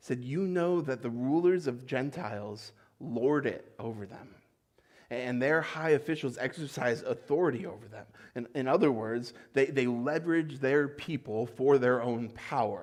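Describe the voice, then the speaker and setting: A man with a normal speaking voice at medium pitch talks at a moderate pace, using ordinary pitch variation and big swings in loudness. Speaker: pastor. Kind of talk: sermon delivered to a congregation. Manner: conversational, warm.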